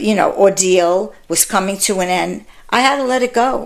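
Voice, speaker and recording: A woman with a New York accent, medium in pitch, with ordinary pitch variation. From Bronx, New York. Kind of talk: interview answer.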